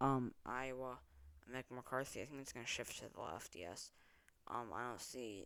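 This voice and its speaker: This soft-spoken voice has a bright, sharp tone. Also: man. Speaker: political commentary youtuber. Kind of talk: election prediction monologue. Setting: at home at night. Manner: quiet, talking softly; hesitant, many filler ums.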